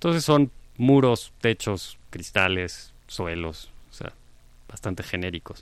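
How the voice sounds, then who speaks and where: A man with a fairly low pitch talks at a very slow pace, his pitch swinging very widely. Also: big swings in loudness, quiet background. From Mexico. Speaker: architect and professor. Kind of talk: conversational interview.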